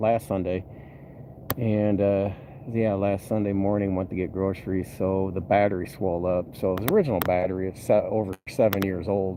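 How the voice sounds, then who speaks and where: A man speaks at a fairly low pitch in a plain, everyday voice. His pace is moderate. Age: 50s. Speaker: vlogger, bus mechanic and former trucker. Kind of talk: casual vlog update. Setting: poolside, outdoors. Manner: relaxed, filler-heavy.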